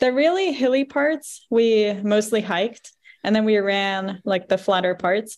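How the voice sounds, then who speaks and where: A woman's normal speaking voice, fairly high in pitch, with an American accent, a fairly slow pace, very even loudness and ordinary pitch variation. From Virginia, US. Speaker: activist and runner. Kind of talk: casual interview.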